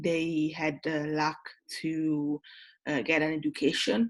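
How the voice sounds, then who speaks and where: The speaker is a woman. She has an Italian accent. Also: very clean recording, silent background. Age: 20s. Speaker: tutor. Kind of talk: lecture. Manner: halting.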